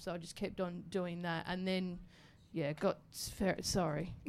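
A woman speaks with an Australian accent. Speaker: radio presenter and comedian. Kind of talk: casual chat. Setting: stage with audience.

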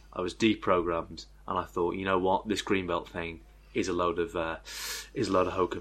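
Speaking at a fairly quick pace with a northern English accent, a man talks in a very deep, low voice with fairly even intonation against a quiet background. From northern England. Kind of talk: casual chat.

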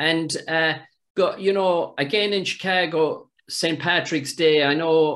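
A man with an Irish accent speaks at a fairly slow pace. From Ireland. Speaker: podcast host. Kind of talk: casual interview.

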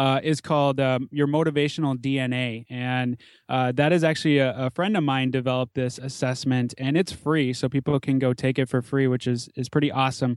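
In an American accent, a man talks with a normal speaking voice at a fairly quick pace and fairly even intonation. The recording is very clean with a silent background and a dry, close sound without echo. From US Midwest, Minnesota (Twin Cities suburbs). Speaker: chiropractor and podcaster. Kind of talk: interview conversation.

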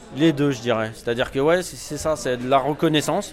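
A man is speaking with ordinary pitch variation. Noticeable background noise runs under his voice. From Paris suburbs, Val-de-Marne. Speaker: writer. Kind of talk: casual interview. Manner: hesitant, many fillers.

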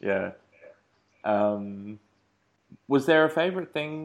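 The speaker has an Australian accent and lively intonation, with a quiet background. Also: man. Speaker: podcast host. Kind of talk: interview.

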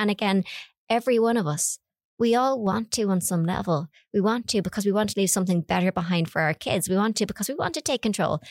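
A woman talks very fast in an Irish accent. Her pitch varies in an ordinary way. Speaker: electricity network manager. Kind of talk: casual chat.

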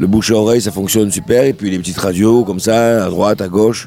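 A man with a dark, mellow tone and fairly low pitch talks at a fairly quick pace with fairly even intonation. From southern France, Sète. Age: 60s. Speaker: singer and guitarist. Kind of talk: radio interview. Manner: halting.

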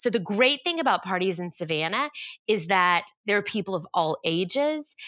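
Bright and sharp in tone, a woman with a Southern US accent speaks at medium pitch with lively intonation on a very clean recording with a silent background. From US South, Georgia. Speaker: event designer and entrepreneur. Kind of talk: interview.

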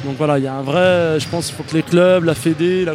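A man at a fairly high pitch and moderate pace, fairly even intonation, with noticeable background noise. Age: 30s. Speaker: wheelchair basketball player. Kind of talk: interview.

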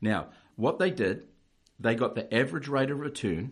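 A man speaks with a New Zealand accent at a moderate pace. The recording is very clean, with a silent background. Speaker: financial adviser. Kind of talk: informative interview chat.

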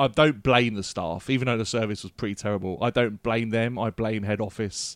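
An ordinary speaking voice from a man at medium pitch and moderate pace, with a dry, close sound and no echo. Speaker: podcast co-host. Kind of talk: casual chat.

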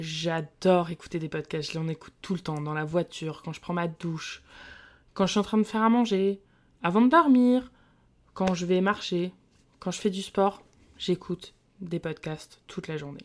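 A woman's fairly low voice at a moderate pace, with long, frequent pauses, big swings in loudness and ordinary pitch variation, on a very clean recording over a silent background. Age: 20s. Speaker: early childhood educator and podcast host. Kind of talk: solo podcast monologue.

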